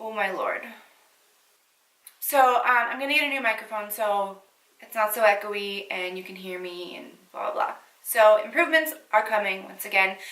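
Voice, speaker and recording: A woman's fairly high voice with ordinary pitch variation, big swings in loudness, long, frequent pauses and audible room echo. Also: moderate pace. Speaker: beauty YouTuber. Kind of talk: casual chat to camera. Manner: mumbling at times. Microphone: echoey room mic.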